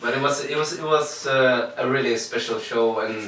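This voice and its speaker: Amid noticeable background noise and audible room echo, a man talks at a moderate pace with medium pitch and ordinary pitch variation. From Sweden, Linköping. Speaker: singer-songwriter. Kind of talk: interview. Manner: halting.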